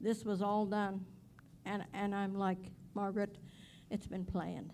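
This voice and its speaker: Her tone is dark and mellow, at medium pitch for a woman. She speaks at a fairly slow pace. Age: 80s+. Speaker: community member speaking at school board meeting. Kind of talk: public comment at board meeting. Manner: impassioned.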